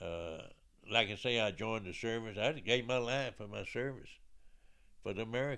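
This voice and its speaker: Bright and sharp in tone, a man with an Alabama accent speaks at a moderate pace, using ordinary pitch variation and long, frequent pauses. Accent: Southern US (Alabama). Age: 80s+. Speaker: military veteran. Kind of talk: life story interview. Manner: halting.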